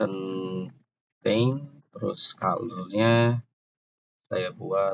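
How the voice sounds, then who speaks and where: Soft-spoken, a man talks with lively intonation. His pitch sits in the medium range. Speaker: programming tutor. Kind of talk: tutorial. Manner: halting.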